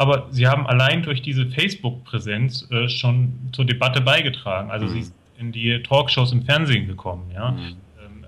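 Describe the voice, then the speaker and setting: The speaker is a man with an ordinary speaking voice, pitched in the medium range. His delivery is moderate in pace, and his pitch shifts in an ordinary way. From Thuringia, eastern Germany. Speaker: sociologist. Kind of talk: interview.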